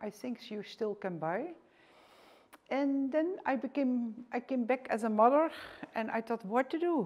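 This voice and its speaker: A woman speaks with a Dutch accent at a moderate pace. Her pitch is fairly high and her intonation is lively. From Netherlands, rural village. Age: 60s. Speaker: author and former teacher. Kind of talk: presentation lecture. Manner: halting.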